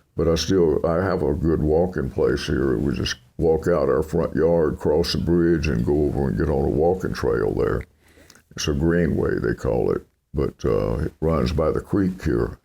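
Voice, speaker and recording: A man speaks in a relaxed tone at a moderate pace, his pitch very deep and low with ordinary variation. His dark, mellow voice carries vocal fry. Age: 80s+. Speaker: country singer. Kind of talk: interview answer. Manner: relaxed, conversational.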